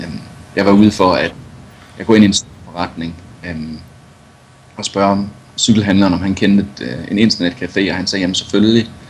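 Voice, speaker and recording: A man with a fairly low pitch, fairly even intonation, a fairly quick pace, long, frequent pauses and big swings in loudness, over noticeable background noise. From Denmark, Viborg. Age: 30s. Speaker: adventure cyclist and journalist. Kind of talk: interview.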